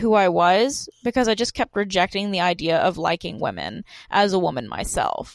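A woman with an American accent talks at a moderate pace in an ordinary speaking voice, with medium pitch and ordinary pitch variation. The sound is dry and close, with no echo. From US South, Georgia. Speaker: podcast host. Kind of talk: casual chat.

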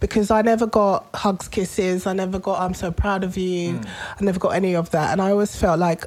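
Someone with a London accent speaks at a fairly quick pace with hardly any pauses. The intonation is fairly even. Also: woman, medium pitch for a woman. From London, Tottenham. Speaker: podcast co-host. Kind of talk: casual chat.

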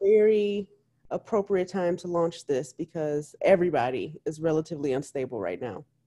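A woman speaks at a moderate pace with lively intonation. Her voice is fairly low in pitch, with a dark, mellow tone. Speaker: podcast co-host. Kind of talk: casual chat.

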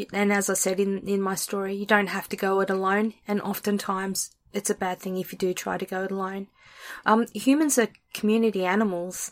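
In an Australian accent, a woman speaks fairly quickly at a medium pitch with monotone, flat intonation, recorded very cleanly over a silent background. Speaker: podcast host and author. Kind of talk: casual chat; reading aloud.

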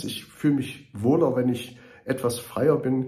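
A man speaks at a fairly slow pace in a dark, mellow, somewhat breathy voice of medium pitch. Room echo is audible. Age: 50s. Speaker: mayor and political candidate. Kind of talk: campaign monologue. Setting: studio. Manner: earnest, with filler hesitations.

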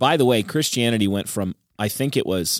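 Very deep and low in pitch, a man's voice comes through dry and close with no echo, in a very clean recording with a silent background. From England. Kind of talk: casual theological discussion.

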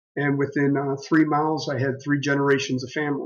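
A man with an American accent talks in a fairly high pitch, his intonation flat and monotone. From western Pennsylvania. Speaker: business executive and former Marine officer. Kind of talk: interview.

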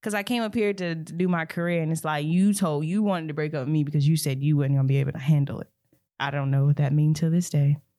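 A woman's very deep, low voice, dark and mellow in tone, at a very fast pace. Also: ordinary pitch variation. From Alabama, US South (Anniston). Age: 20s. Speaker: singer and songwriter. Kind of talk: casual interview chat.

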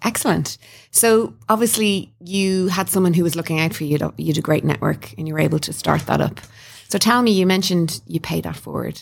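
A woman talks at a fairly quick pace in an Irish accent, her pitch fairly low. Her intonation is lively, and vocal fry runs through her voice. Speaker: podcast host. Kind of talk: interview. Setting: studio.

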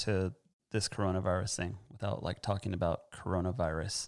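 At a moderate pace, a man with an American accent speaks in a very clean recording with a silent background. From Southern California. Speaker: podcast host and bushcraft gear business owner. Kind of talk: casual chat. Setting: studio with headphones. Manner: halting, many filler words.

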